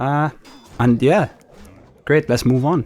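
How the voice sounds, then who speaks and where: In a Welsh accent, a man talks at a moderate pace with ordinary pitch variation. The sound is dry and close, with no echo. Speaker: gaming youtuber. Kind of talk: gameplay commentary. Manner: casual, conversational.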